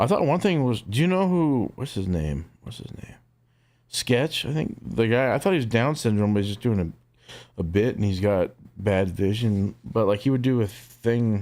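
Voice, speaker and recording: On a very clean recording with a silent background, a man speaks. His medium-pitched voice moves at a moderate pace with lively intonation. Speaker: streamer. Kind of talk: casual chat. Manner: loud.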